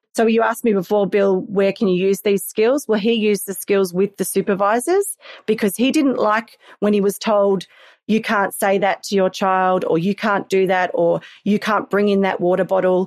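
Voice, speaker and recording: At a moderate pace, a woman with an Australian accent speaks at medium pitch with fairly even intonation and very even loudness, the sound dry and close with no echo. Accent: Australian, sometimes mistaken for English. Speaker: parenting skills coach. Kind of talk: interview conversation.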